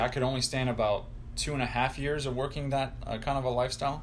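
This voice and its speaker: There is audible echo from the room. Through it, a man's speech moves along fairly quickly. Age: 20s. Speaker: food scientist. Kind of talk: interview.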